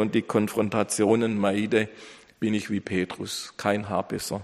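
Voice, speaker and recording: A man speaks at a moderate pace in a fairly low pitch with a dramatic, warm tone. The recording is very clean, with a silent background. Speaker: pastor. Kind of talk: sermon. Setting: church. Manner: earnest, emphatic preaching, building in dramatic rhetorical pauses; formal, warm pastoral tone addressing congregation.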